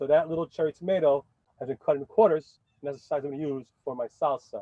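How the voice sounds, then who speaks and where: Speech in a New York accent comes at a very fast pace with fairly even intonation. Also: man, fairly high pitch for a man. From New York City (Bronx). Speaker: chef. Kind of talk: cooking demonstration. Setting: outdoors.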